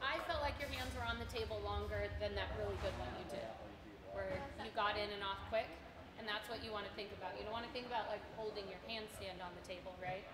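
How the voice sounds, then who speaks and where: A woman speaks at a very fast pace. Noticeable background noise runs underneath. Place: gym.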